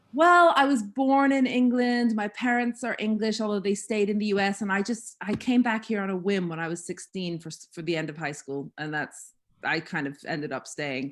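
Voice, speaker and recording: Speaking at a moderate pace with an American accent, a woman of medium pitch swings very widely in pitch and hardly pauses at all. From US Northeast, Massachusetts (north shore). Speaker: columnist and historian. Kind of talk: casual chat.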